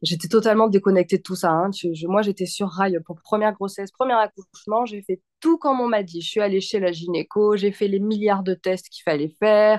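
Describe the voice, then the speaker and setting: A woman at medium pitch talks at a fairly quick pace with hardly any pauses and ordinary pitch variation, the sound dry and close with no echo. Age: 30s. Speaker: mother sharing birth story. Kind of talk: testimony. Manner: animated.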